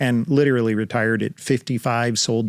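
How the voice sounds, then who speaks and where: On a very clean recording with a silent background, a man with an American accent speaks at a moderate pace. His pitch is medium, with ordinary pitch variation. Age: 60s. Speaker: title industry veteran, real estate investor. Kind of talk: casual interview chat. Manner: hesitant, many fillers.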